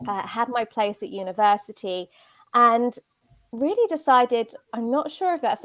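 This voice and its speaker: A woman with a British accent speaks at a fairly slow pace. The sound is dry and close, with no echo. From southern England, near Brighton. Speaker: career coach. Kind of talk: interview. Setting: live video stream.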